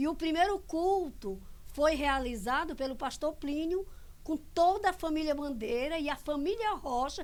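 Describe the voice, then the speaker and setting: A woman's extremely high-pitched voice with lively intonation. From Brazil, Imperatriz, Maranhão. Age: 60s. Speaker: church elder and Sunday school teacher. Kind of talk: testimony.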